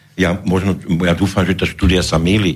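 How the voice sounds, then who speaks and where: Ordinary pitch variation runs through speech that keeps a moderate pace. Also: man. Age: 60s. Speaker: politician, founder of a new movement. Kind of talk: radio interview. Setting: studio. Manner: halting.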